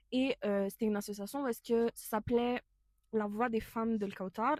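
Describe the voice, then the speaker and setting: A woman's voice is recorded dry and close, with no echo. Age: 20s. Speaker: podcast co-host, student volunteer. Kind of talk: casual podcast chat. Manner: hesitant, many fillers.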